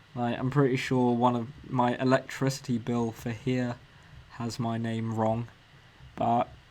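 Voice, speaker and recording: A man with a southern English accent speaks fairly slowly at medium pitch, with long, frequent pauses. His intonation stays flat and monotone. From England, Cambridge. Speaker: motion designer streamer. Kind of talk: casual live stream Q&A. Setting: live stream. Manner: hesitant, many ums.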